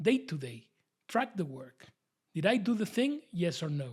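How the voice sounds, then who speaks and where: Very wide pitch swings mark this man's high voice. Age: 60s. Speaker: online creator / midlife career coach. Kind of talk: direct-to-camera talk.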